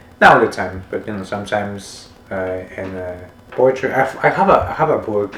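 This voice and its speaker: Noticeable background noise sits behind a man's fairly low voice. He speaks at a fairly quick pace with ordinary pitch variation. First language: Spanish. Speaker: podcast host. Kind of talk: casual interview chat. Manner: halting, many repetitions and fillers.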